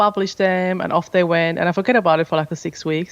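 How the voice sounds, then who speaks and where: Over a quiet background, a woman speaks at a medium pitch with a Finnish accent. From Finland. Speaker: podcast host and business owner. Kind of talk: interview.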